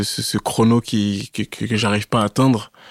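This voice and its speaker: A man's monotone, flat delivery in a dry, close sound with no echo. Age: 30s. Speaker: amateur fitness competitor. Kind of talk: casual interview. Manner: halting, with frequent repetitions.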